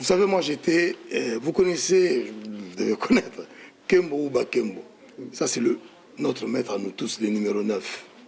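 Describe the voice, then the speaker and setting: A man speaks at a fairly slow pace with a fairly high pitch and very wide pitch swings. Noticeable background noise runs underneath. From DR Congo (Kinshasa). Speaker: diaspora political activist. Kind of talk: heated debate. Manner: forceful.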